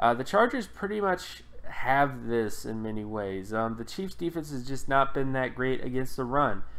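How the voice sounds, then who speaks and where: This is a man with an ordinary speaking voice. He talks at a moderate pace, medium in pitch with ordinary variation. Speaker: football analytics video host. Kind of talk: solo sports analysis commentary. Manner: casual, frequent filler words.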